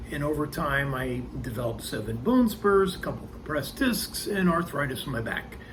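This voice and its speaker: A man at a moderate pace, with audible room echo. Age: 60s. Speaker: thru-hiker vlogger. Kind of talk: casual vlog monologue. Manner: hesitant with many ums.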